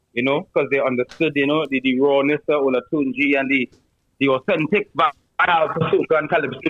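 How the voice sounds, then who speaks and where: With a Trinidadian accent, a man talks at a fairly quick pace in a fairly high voice. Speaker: soca artist. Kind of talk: casual interview chat.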